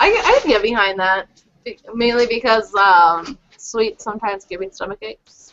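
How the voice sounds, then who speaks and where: A plain, everyday voice from a woman, fairly high-pitched, at a moderate pace with fairly even intonation. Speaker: podcast co-host. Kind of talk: casual chat.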